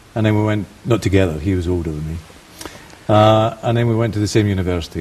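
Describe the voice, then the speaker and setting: A man's very fast speech with ordinary pitch variation and noticeable background noise. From Scotland. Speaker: banker. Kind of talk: TV interview.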